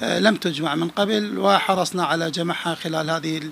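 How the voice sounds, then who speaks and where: A man speaks at a high pitch and a fairly slow pace. Light background noise can be heard. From Dhi Qar, Iraq. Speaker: journalist and folklore author; journalist. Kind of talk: interview; interview answer. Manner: halting. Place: home room. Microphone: handheld.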